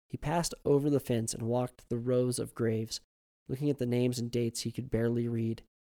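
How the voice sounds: Over a quiet background, a natural reading voice keeps fairly even intonation.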